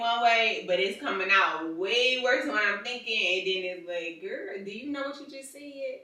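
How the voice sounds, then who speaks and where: A woman with a fairly high voice speaks at a moderate pace with lively intonation and hardly any pauses. Her loudness swings widely, and room echo is audible. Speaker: married couple podcast co-host. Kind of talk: casual chat. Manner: harsh delivery.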